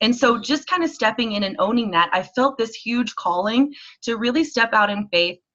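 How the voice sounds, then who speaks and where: Loud and bright with a sharp tone, a woman's fairly high voice moves at a moderate pace with lively intonation. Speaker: network marketing leader and event organizer. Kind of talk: talk on a team conference call. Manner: animated.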